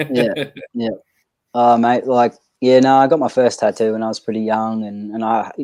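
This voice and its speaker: Long, frequent pauses break up the moderate-paced speech of a man with an Australian accent, whose medium pitch, dark, mellow tone and monotone, flat intonation hold throughout. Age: 30s. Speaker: guest on live stream. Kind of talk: casual chat.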